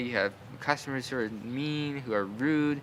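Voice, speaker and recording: Mumbling, a man speaks at a medium pitch in a bright, sharp tone with ordinary pitch variation. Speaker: vlogger. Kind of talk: casual storytelling monologue. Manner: halting.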